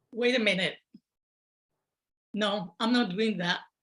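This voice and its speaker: The woman's tone comes across bright and sharp. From Puerto Rico. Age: 60s. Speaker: storyteller, retired teacher. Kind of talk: storytelling.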